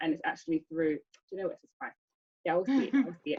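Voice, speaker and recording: A woman speaks with a London accent and lively intonation. Her pitch sits fairly low. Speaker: speaker giving a talk. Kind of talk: presentation with group chat. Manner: stammer.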